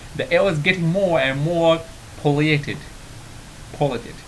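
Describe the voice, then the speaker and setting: There is noticeable background noise as a man talks in a fairly high voice. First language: Arabic. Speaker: English teacher on video channel. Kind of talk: tutorial. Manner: halting, many fillers and repeats.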